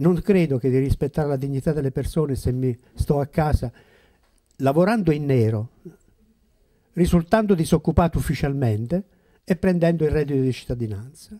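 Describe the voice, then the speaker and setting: At a moderate pace, a man with a fairly high voice and a dark, mellow tone uses ordinary pitch variation and takes long, frequent pauses against a quiet background. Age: old. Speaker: retired school principal, former councillor; former councillor. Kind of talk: panel discussion; public talk on politics. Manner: halting. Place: shop. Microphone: handheld.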